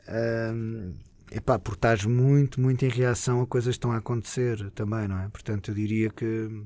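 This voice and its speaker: Intonation is fairly even. The words come at a moderate speed. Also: man, medium pitch for a man. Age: 40s. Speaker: show producer. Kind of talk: casual interview.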